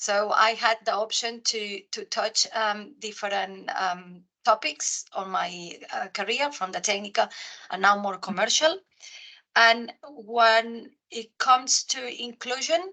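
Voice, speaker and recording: Speaking at a fairly slow pace in a Spanish accent, a woman uses a fairly high pitch, a bright, sharp tone and ordinary pitch variation. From Spain. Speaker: geoscientist in commercial role, panelist. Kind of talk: webinar panel discussion.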